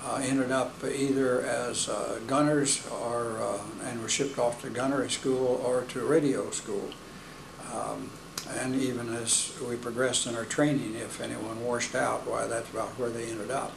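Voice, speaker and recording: A man in a flat monotone, with noticeable background noise. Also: moderate pace. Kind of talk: interview answer. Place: meeting room.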